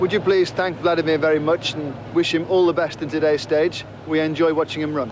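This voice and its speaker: Over noticeable background noise, a man with a Liverpool accent talks at a fairly quick pace and fairly high pitch in a monotone, flat intonation. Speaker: race commentator and interviewer. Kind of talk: live commentary.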